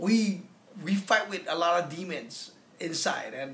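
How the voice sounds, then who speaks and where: At a fairly slow pace a man speaks, with room echo clearly audible. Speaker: comedian giving a testimonial. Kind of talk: interview answer. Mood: reflective, candid. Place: home room. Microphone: phone near.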